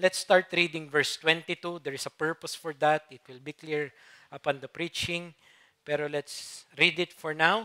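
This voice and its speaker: A man's fairly high, bright and sharp voice in a flat monotone, with big swings in loudness and a dry, close sound free of echo. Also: moderate pace. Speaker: preacher. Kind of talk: sermon.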